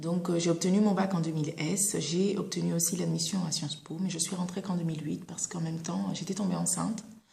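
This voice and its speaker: A woman with a fairly low voice talks at a fairly quick pace with hardly any pauses and fairly even intonation, over noticeable background noise and audible room echo. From Saint Martin, Caribbean. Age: 20s. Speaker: former student giving career testimony. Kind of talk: testimony. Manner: hesitant, many filler sounds.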